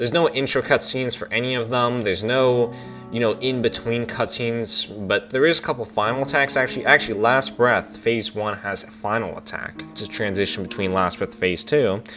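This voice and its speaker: The speech comes at a fairly quick pace with hardly any pauses and ordinary pitch variation, with music playing in the background. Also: man, medium pitch for a man. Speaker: video game reviewer. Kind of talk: casual game review talk.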